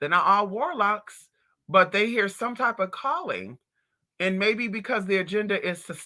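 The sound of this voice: The background stays quiet. The reading is done in an unforced reading voice.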